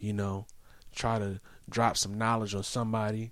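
On a very clean recording with a silent background, a man speaks at a fairly low pitch and a moderate pace with monotone, flat intonation. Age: 30s. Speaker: podcast host. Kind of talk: casual chat.

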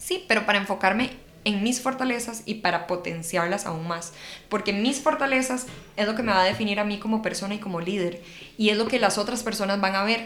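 Amid noticeable background noise and audible room echo, a woman talks at a fairly quick pace with a medium pitch and ordinary pitch variation. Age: 20s. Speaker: public speaking coach, podcast co-host. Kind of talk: casual chat.

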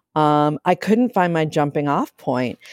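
Speaking with a Midwestern US accent, a woman has a very deep, low pitch. The sound is dry and close with no echo, on a very clean recording with a silent background. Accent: US Midwest. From Ohio, Akron. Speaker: novelist. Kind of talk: interview. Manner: hesitant, many fillers.

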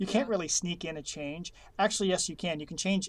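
A man with a high voice talks at a very fast pace. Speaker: chief meteorologist. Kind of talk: casual chat. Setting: separate rooms, remote. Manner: fast talker.

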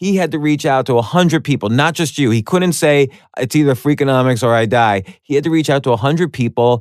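A man with a normal speaking voice talks at a medium pitch and fairly quick pace, with a dry, close sound with no echo and a quiet background. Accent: American. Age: 40s. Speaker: podcast host. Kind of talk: casual chat.

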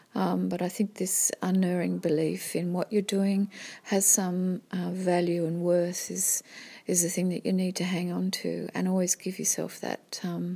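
A woman talks fairly slowly, her voice somewhat breathy with a dark, mellow tone. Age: 50s. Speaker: visual artist. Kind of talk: personal testimony monologue. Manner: halting, many fillers.

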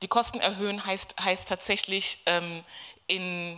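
A woman speaks at a fairly low pitch with a bright, sharp tone. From Kenya. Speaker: gender studies professor. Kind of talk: panel discussion. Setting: stage with audience.

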